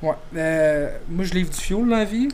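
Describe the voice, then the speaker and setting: Noticeable background noise sits behind a man speaking. His pitch is high, with ordinary variation. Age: 20s. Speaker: podcast host. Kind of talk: casual chat.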